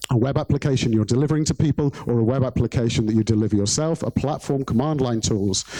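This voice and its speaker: Speaking at a very fast pace with hardly any pauses, a man at medium pitch keeps ordinary pitch variation and very even loudness in a dry, close sound with no echo, though noticeable background noise is present. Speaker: conference speaker, software developer. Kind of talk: conference talk.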